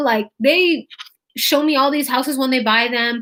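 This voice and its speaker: With an American accent, a woman speaks at a moderate pace in a high-pitched, bright, sharp tone. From California, Fresno. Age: 20s. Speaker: real estate wholesaling coach. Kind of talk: live stream tutorial. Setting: YouTube live stream.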